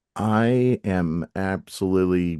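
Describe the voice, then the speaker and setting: A man with a very deep, low pitch speaks, the sound dry and close with no echo. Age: 40s. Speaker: real estate coach and sports announcer. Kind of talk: casual interview chat.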